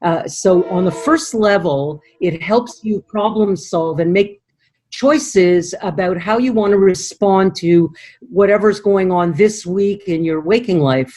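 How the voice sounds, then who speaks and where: A woman talks at a fairly slow pace and medium pitch. Her tone is dark and mellow, with lively intonation. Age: 60s. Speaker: dream analyst. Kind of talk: interview.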